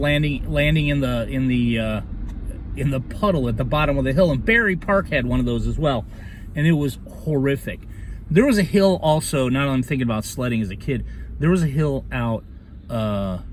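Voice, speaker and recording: Amid noticeable background noise and audible room echo, a man with a fairly high voice talks at a fairly quick pace, his pitch swinging very widely. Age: 50s. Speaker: vlogger. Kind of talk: casual monologue. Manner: hesitant, many fillers.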